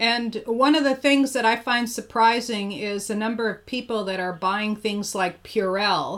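In an ordinary speaking voice, a woman talks fairly slowly at a fairly high pitch with ordinary pitch variation. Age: 60s. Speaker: podcast host and energy healer. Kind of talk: interview. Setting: video call.

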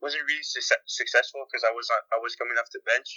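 A man with a Quebec accent at a fairly quick pace. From Quebec, Montreal. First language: French. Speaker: professional soccer player. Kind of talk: interview.

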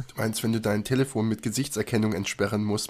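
This man talks at a very fast pace in a fairly low pitch, keeping his intonation fairly even. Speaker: podcast co-host. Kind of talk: casual chat.

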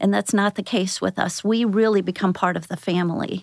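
A woman with an American accent speaks at a fairly quick pace, her pitch medium and her intonation fairly even, in a plain, everyday voice. The recording is very clean, with a silent background. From US Midwest, St. Louis area. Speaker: home care outreach director. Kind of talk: interview.

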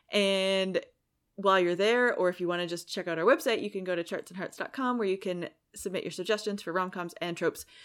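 A woman talks at a fairly quick pace in a normal speaking voice at medium pitch. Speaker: podcast host. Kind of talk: casual chat.

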